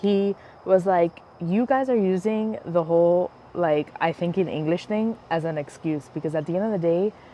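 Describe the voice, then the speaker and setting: A normal speaking voice from a woman with an American accent, fairly low in pitch, with ordinary pitch variation and a fairly slow pace. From United States, Spanish-speaking family. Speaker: podcast host. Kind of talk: casual chat. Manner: many filler words, um and like.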